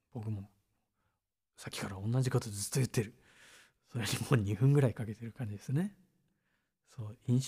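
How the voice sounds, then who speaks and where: A man with a medium-pitched, dark, mellow, somewhat breathy voice talks at a fairly quick pace, with ordinary pitch variation, big swings in loudness and long, frequent pauses. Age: 30s. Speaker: musician. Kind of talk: casual chat. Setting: live stream. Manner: relaxed.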